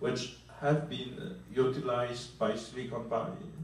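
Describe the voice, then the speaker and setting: A man of medium pitch with a Polish accent, very slow, amid noticeable background noise and audible room echo. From Poland. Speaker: venture capitalist. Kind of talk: panel discussion. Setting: conference.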